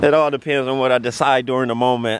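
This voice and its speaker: Dry and free of echo, a man's voice moves at a moderate pace in a monotone, flat intonation. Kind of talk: casual conversation. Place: street. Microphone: phone near.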